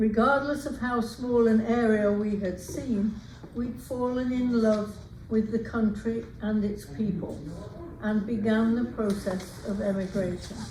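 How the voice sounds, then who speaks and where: The voice keeps a fairly even intonation, with audible room echo and noticeable background noise. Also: woman, fairly high pitch for a woman, fairly slow pace. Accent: English. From England. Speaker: retired teacher and author. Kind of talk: reading aloud.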